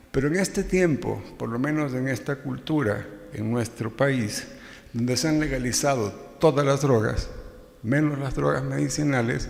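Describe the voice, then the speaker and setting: A man talks fairly slowly at medium pitch with ordinary pitch variation. Noticeable background noise and audible room echo fill the recording. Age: 60s. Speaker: psychiatrist, addiction specialist. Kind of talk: conference lecture. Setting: scientific event with audience.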